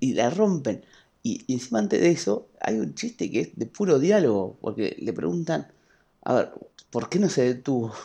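This man speaks with a Rioplatense accent at a medium pitch, with vocal fry and very wide pitch swings. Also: moderate pace. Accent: Argentine Spanish (rioplatense). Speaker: podcast host. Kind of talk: casual chat.

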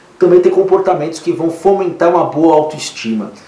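Using an animated tone and lively intonation, a man with a high pitch speaks at a moderate pace. The recording has audible room echo and noticeable background noise. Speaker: therapist and podcast host. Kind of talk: casual monologue with advice on listener emails.

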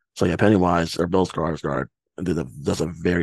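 Vocal fry colors a man's very deep, low pitch as he speaks at a moderate pace in a dry, close sound with no echo. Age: 20s. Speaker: podcast host. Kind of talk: casual chat.

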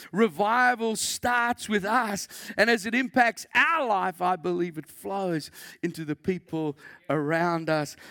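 Using a raised, projected voice, a man speaks at a high pitch with lively intonation and a bright, sharp tone. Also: fairly slow pace, dry, close sound with no echo. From South Africa. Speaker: pastor. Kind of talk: sermon. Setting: church.

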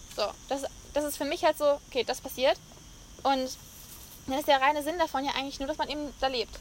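A woman speaks in a high pitch with monotone, flat intonation. She talks at a fairly quick pace but leaves long, frequent pauses. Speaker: podcast host. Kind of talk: casual chat. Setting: on location in Mallorca.

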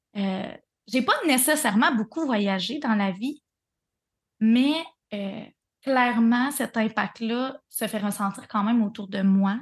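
Speaking very slowly in a Quebec accent, a woman with a fairly high pitch and ordinary pitch variation leaves long, frequent pauses against a quiet background. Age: 30s. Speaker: breathwork facilitator. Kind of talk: casual interview chat.

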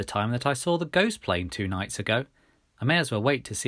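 What comes through is a natural reading voice.

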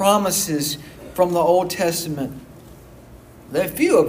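Over noticeable background noise and audible room echo, a man with a Southern US accent speaks at a moderate pace with fairly even intonation. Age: 40s. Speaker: pastor. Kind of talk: sermon. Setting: church.

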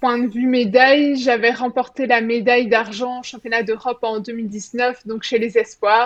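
A woman with a high pitch talks at a very slow pace, with hardly any pauses and fairly even intonation. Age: 20s. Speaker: middle-distance runner. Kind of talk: interview.

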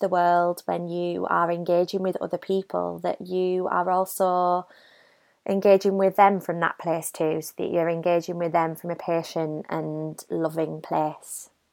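A woman's fairly low, gentle voice in a British accent, fairly slow and flat in a monotone, on a very clean recording with a silent background. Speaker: meditation guide. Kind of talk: guided meditation. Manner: slow, soothing, calm; gentle, unhurried, with long pauses.

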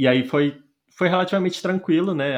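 A man with a plain, everyday voice, talking at a fairly quick pace with ordinary pitch variation. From Brazil, Goiânia. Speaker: software tech lead. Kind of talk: casual chat.

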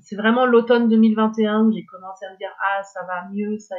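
Speaking at a moderate pace, a woman holds a medium pitch with monotone, flat intonation. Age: 50s. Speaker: former cultural sector executive. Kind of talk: testimony. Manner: halting.

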